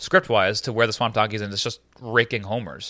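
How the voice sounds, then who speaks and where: Fairly quick speech from a man at a medium pitch. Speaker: podcast host. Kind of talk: casual chat. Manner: halting.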